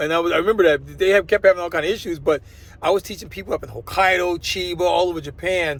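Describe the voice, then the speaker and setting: A man talks at a very fast pace in an American accent. His pitch is high. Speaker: vlogger and former English teacher. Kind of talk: casual vlog monologue. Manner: halting, many repetitions and fillers.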